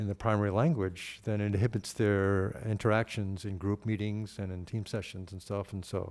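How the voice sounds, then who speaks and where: A man with an American accent talks at a fairly quick pace and a fairly low pitch. The recording is very clean, with a silent background. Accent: New York accent tinged with Boston. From New York. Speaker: panelist on diversity. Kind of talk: panel discussion answer. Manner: halting, many fillers.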